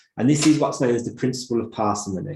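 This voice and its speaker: With a Birmingham accent, a man's somewhat breathy voice carries a dark, mellow tone and ordinary pitch variation. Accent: Brummie. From Birmingham, England. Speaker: optometry lecturer. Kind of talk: lecture. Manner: hesitant fillers, repeats words.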